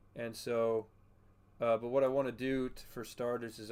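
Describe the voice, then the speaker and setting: A soft-spoken man talks at a fairly slow pace. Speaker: gaming streamer. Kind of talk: casual live stream chat with gameplay. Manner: quiet, soft-spoken.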